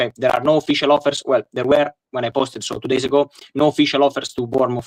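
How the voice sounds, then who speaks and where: Dry and close with no echo, a man's fairly high voice races along at a very fast pace with an Italian accent. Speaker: football journalist. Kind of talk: interview. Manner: halting. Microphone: poor microphone.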